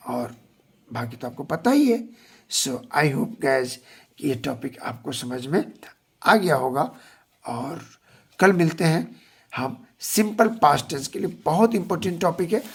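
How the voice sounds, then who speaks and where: The speaker talks at a fairly slow pace with long, frequent pauses. The intonation is lively. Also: man. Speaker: English teacher. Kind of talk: tutorial.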